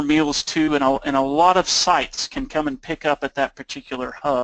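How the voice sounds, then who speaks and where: A man's fairly high, bright and sharp voice with an Oklahoma accent and ordinary pitch variation, in a dry, close sound with no echo. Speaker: nonprofit program manager. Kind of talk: webinar presentation. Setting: webinar call.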